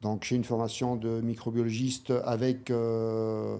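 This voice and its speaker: Speaking with fairly even intonation, a man has a medium pitch and a dark, mellow tone. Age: 60s. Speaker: manual therapist and osteopath. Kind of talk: interview. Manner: hesitant, many fillers.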